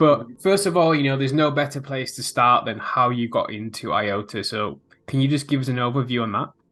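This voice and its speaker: Over a quiet background, a man with an English accent speaks at a fairly quick pace with ordinary pitch variation. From England. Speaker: crypto YouTuber, podcast host. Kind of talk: interview.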